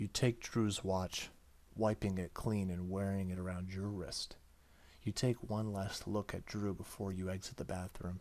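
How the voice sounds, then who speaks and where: Soft-spoken and fairly low-pitched, a man talks at a fairly slow pace with monotone, flat intonation in a very clean recording with a silent background. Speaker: gaming YouTuber. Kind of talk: let's play visual novel reading.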